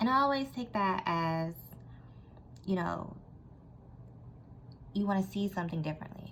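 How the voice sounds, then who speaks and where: A woman speaks at a fairly quick pace in a fairly low, somewhat breathy voice. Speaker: tarot reader. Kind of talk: tarot reading monologue.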